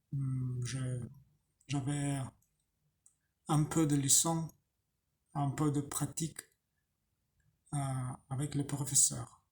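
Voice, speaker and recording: A man with a non-native accent speaks at a fairly high pitch in a dark, mellow, somewhat breathy tone. His delivery is monotone and flat, very slow, with long, frequent pauses. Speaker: language learner. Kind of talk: casual talk to camera. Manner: slow, hesitant.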